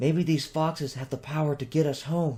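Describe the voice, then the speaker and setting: Using a put-on character voice, a man speaks at a fairly high pitch and moderate pace with monotone, flat intonation. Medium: read story.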